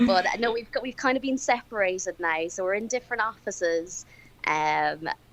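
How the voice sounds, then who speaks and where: With music playing in the background, a woman with an Irish accent talks at a fairly quick pace, her medium-pitched voice carrying lively intonation. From Ireland. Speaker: crime scene investigator. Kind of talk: casual chat.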